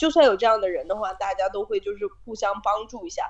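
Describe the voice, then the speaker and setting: Very wide pitch swings from a woman at a fairly quick pace. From China. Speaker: student abroad, office worker. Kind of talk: casual chat.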